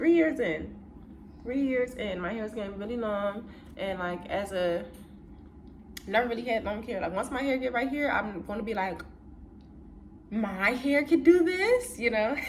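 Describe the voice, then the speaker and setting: In a room with audible echo, a woman talks at a moderate pace and a fairly high pitch, leaving long, frequent pauses. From US Northeast, Philadelphia. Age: 20s. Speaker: content creator. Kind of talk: casual chat. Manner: relaxed, conversational.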